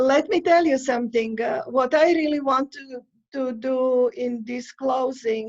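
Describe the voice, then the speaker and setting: Using a non-native accent, a woman speaks at a very slow pace and a high pitch, her intonation fairly even. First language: not English. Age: 60s. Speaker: immigrant sharing life story. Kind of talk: interview. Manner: halting, many hesitations.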